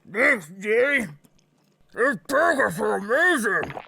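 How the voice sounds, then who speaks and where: Putting on a character voice, a woman speaks high and raspy at a fairly slow pace, her pitch swinging very widely. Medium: audio drama. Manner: blunt, hot-tempered.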